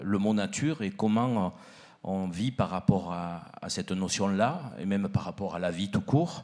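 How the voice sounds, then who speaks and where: With a strong southern French accent, a man speaks at a moderate pace with ordinary pitch variation on a very clean recording with a silent background. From southern France, Provence (Arles area). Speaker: miller and baker, panelist. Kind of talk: panel discussion.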